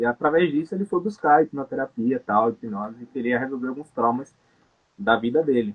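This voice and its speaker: Here a man speaks in an unremarkable speaking voice at a medium pitch. His pace is fairly quick and his intonation lively. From Salvador, Bahia, Brazil. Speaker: tattoo artist and hypnotherapist. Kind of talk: casual interview chat.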